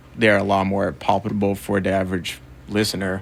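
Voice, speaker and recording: A man speaks with a Portuguese accent. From Brazil. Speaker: record label co-founder and music photographer. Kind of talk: radio interview. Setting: radio studio.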